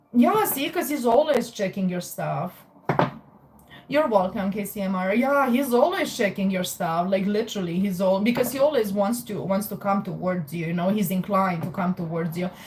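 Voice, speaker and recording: In a Romanian accent, a woman speaks at a moderate pace and medium pitch with lively intonation, over noticeable background noise. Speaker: tarot reader. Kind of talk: live stream chat with tarot readings. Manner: casual, filler-heavy.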